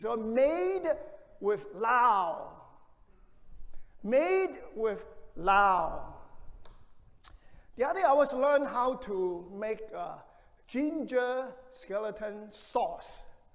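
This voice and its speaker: A man with a Hong Kong accent speaks at an extremely high pitch and a very slow pace, his intonation lively, with long, frequent pauses and audible room echo. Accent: Hong Kong Cantonese-accented English. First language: Cantonese. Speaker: pastor. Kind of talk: sermon. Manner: halting.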